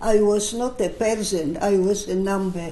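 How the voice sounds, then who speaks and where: Over noticeable background noise, a woman talks at a very slow pace in a medium pitch. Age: 80s+. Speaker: Holocaust survivor. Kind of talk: interview answer.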